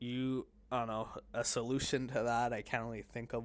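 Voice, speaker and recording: Medium pitch and ordinary pitch variation in a man's speech. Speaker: streamer / solo podcaster. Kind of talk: casual monologue. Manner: halting, many fillers and restarts.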